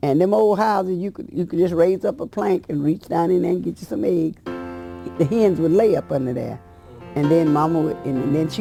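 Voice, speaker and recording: With music in the background, a woman with a Southern US accent speaks at a fairly low pitch and moderate pace with ordinary pitch variation. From South Carolina. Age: 80s+. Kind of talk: oral history interview answer. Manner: halting, repetitive.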